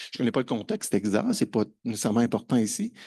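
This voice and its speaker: A man's medium-pitched voice with a dark, mellow tone, very wide pitch swings and a quiet background. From Quebec. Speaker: conference speaker on open educational resources. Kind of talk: conference presentation. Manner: hesitant, many fillers and repetitions.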